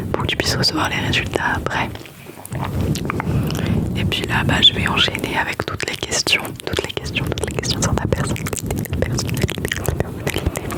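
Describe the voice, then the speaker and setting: Amid noticeable background noise, a woman whispers at a moderate pace in a gentle tone. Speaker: ASMR creator. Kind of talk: ASMR roleplay, personal-test consultation. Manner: soft-spoken, gentle, repetitive.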